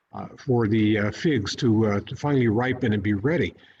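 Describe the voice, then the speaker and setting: This man's voice is somewhat breathy. His pace is moderate. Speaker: Episcopal priest giving a sermon. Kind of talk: church sermon.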